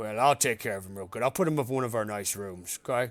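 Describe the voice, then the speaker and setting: In a raspy, put-on character voice at a medium pitch, a man speaks at a very fast pace. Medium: actual play. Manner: warm, breezy, doesn't wait for answers.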